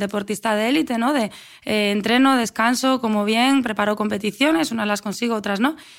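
In a normal speaking voice, a woman with a fairly high pitch and ordinary pitch variation is heard on a very clean recording with a silent background. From Spain, Asturias (Avilés). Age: 30s. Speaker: athlete and running coach. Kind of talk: interview conversation.

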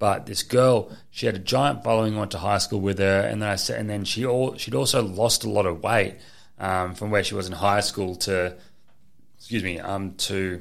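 A man with a fairly low pitch and an Australian accent. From Queensland, Australia. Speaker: affiliate marketer. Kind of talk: casual chat. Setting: studio.

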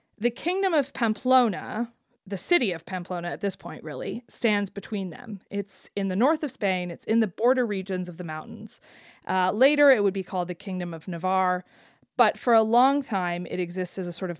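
At a moderate pace, a woman with a plain, everyday voice speaks at a medium pitch with lively intonation and big swings in loudness. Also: very clean recording, silent background. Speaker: podcast co-host. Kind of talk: casual chat.

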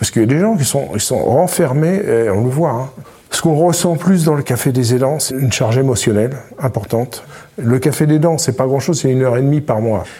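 A fairly quick delivery, noticeable background noise behind it. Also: man, medium pitch for a man, lively intonation. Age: 60s. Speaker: retired family caregiver. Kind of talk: testimony. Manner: halting, repeats words.

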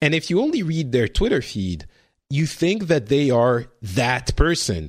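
Very wide pitch swings mark this voice with a French accent. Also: man. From France. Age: 40s. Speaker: podcast host. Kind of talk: casual chat. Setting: video call.

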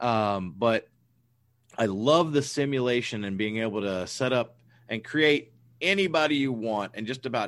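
Against a quiet background, a man with a plain, everyday voice speaks at a moderate pace in a medium pitch with lively intonation. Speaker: podcast host. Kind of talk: casual chat.

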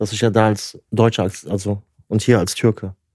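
Captured on a very clean recording with a silent background and a dry, close sound with no echo, a man speaks in a fairly low, dark, mellow voice with monotone, flat intonation. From Germany, Turkish family. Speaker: podcast co-host. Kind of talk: casual chat.

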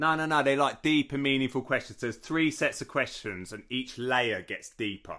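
Speaking in a southern English accent, the voice moves at a fairly quick pace with hardly any pauses. Pitch varies in an ordinary way on a very clean recording with a silent background. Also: man, fairly high pitch for a man. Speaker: podcast co-host, martial arts instructor. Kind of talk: casual chat.

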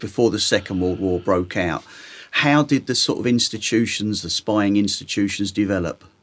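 The speaker has a London accent and moves at a moderate pace. The recording is very clean, with a silent background. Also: man, fairly low pitch for a man, ordinary pitch variation. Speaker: podcast host, taxi driver. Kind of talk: interview.

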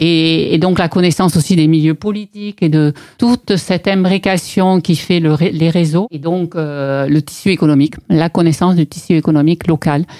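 Speaking at a moderate pace, a woman has a dark, mellow tone, a fairly low pitch and fairly even intonation. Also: dry, close sound with no echo. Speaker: property developer. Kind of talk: interview. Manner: hesitant, many fillers and repetitions.

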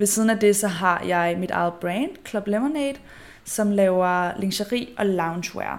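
A woman uses a normal speaking voice at a fairly slow pace, medium in pitch with ordinary pitch variation. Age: 20s. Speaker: podcast host and influencer. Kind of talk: solo casual monologue.

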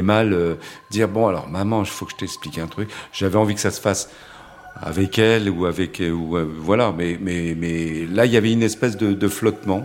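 A man's very deep, low voice at a moderate pace with fairly even intonation, over noticeable background noise. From Paris suburbs, France. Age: 50s. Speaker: gallery owner and photographer's agent. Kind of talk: testimony. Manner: halting, with frequent repetitions and hesitations.

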